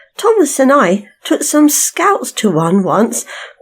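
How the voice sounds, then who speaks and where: A woman puts on a squeaky, high-pitched character voice. She goes at a fairly slow pace with very wide pitch swings. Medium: read story. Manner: eager, excitable.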